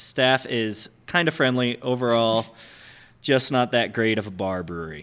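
Over a silent background in a very clean recording, a man with an American accent uses an ordinary speaking voice, medium in pitch, with ordinary pitch variation at a fairly slow pace. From upstate New York. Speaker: head brewer. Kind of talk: casual interview chat. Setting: on location in a brewery.

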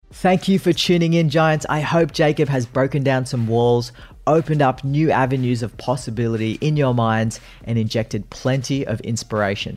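In an Australian accent, a man speaks at a moderate pace and medium pitch with ordinary pitch variation. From Australia (Sydney). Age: 30s. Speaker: podcast host. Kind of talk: interview; scripted narration.

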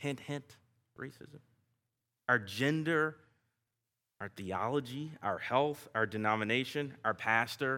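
Very clean recording with a silent background of a man at a fairly slow pace, bright and sharp in tone, with ordinary pitch variation. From US South. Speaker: guest preacher. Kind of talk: sermon. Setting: church. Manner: informal, self-deprecating.

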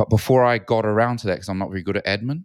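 The speaker has a New Zealand accent. The intonation stays fairly even. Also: man. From New Zealand, Auckland. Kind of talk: casual chat.

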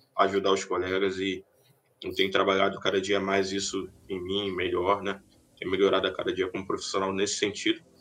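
The man's pitch is fairly low and his intonation is monotone and flat. He talks at a fairly quick pace. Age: 20s. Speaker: database professional. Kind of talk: casual interview. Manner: halting.

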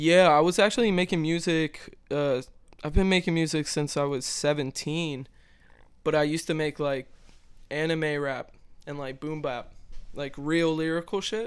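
A man with an American accent and a fairly high pitch speaks at a moderate pace with fairly even intonation, in a plain, everyday voice. The recording is very clean, with a silent background. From Maryland. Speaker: musician. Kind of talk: casual chat.

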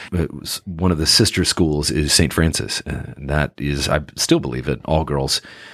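This voice has a West Coast US accent and vocal fry. The pace is moderate. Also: man. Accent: General American (West Coast). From Northern California (Sacramento). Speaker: actor. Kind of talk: interview. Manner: halting, many fillers.

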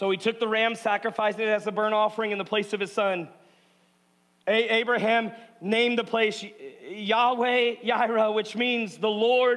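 Monotone and flat, a man speaks in a high voice at a moderate pace. His loudness is very even. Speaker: pastor. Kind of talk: rousing call-and-response sermon leading the congregation in a spoken declaration. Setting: church stage before live congregation. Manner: bold, commanding exhortation urging listeners to declare aloud; punchy, repetitive short imperatives building intensity.

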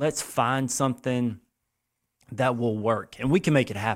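In a South Carolina accent, a man speaks at a medium pitch and a moderate pace with fairly even intonation, on a very clean recording with a silent background. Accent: Southern US (South Carolina). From US South, Lexington, South Carolina. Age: 40s. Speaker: youth running program founder. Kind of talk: casual interview.

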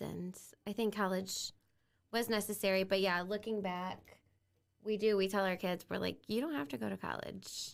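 A woman speaks at a medium pitch with an American accent and fairly even intonation. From Bryan, Ohio. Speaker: teacher and real estate investor. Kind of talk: casual interview chat.

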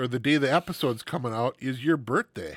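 A man speaks in an ordinary speaking voice at a medium pitch. The recording is very clean with a silent background, dry and close with no echo. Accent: American. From Wisconsin. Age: 40s. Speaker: podcast co-host. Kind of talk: casual chat.

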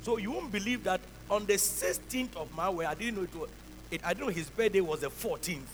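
A man's high voice at a fairly quick pace, ordinary pitch variation, and noticeable background noise. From Ghana. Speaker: bishop, pastor. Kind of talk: sermon. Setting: church. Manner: repetitive, emphatic.

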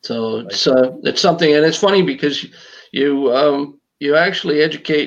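Here is a man with a Canadian accent and an ordinary speaking voice, pitched fairly high. He keeps a moderate pace with ordinary pitch variation. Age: 60s. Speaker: wildlife educator. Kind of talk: casual interview.

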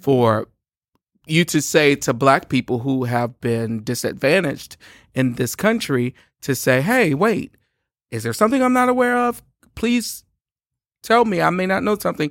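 Very wide pitch swings mark this moderately paced speech, broken by long, frequent pauses and recorded dry and close with no echo. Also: man, fairly high pitch for a man, very clean recording, silent background. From Louisiana, Shreveport. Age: 40s. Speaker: gospel musician. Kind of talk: casual chat. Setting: studio.

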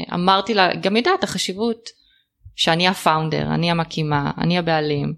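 With ordinary pitch variation and a fairly low pitch, a woman speaks at a moderate pace. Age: 30s. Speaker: trend forecaster, business owner. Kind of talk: interview. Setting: host's home. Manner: hesitant, many fillers.

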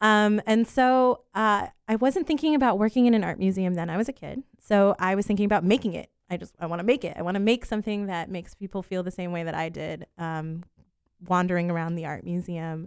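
In an American accent, an unremarkable speaking voice moves at a fairly quick pace with ordinary pitch variation. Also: woman, medium pitch for a woman. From Central Florida. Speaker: museum educator. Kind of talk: casual radio interview.

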